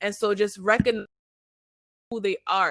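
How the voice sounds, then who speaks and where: With a Jamaican accent, a woman speaks at medium pitch and a moderate pace, her intonation fairly even. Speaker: tech founder and event organizer. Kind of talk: online event introduction speech. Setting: online video event.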